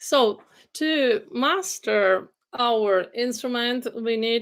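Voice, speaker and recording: Her pitch is high and her intonation lively. The woman speaks with an Italian accent. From Italy, Genoa. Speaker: vocal coach. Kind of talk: livestream lecture. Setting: live video stream. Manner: hesitant with frequent fillers.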